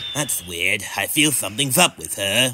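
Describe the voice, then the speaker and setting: The voice is a put-on character voice. Its pace is moderate. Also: man, medium pitch for a man. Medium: audio drama.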